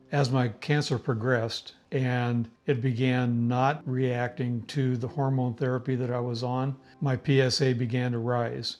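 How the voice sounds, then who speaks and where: With a US Midwestern accent, a man speaks fairly slowly at a medium pitch in a flat monotone. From US Midwest, Indiana. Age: 70s. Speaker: cancer patient, military veteran. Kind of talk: patient testimony.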